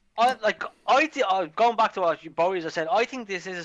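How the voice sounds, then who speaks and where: A man's high-pitched voice carries a bright, sharp tone and lively intonation. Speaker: podcast co-host. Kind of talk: casual chat.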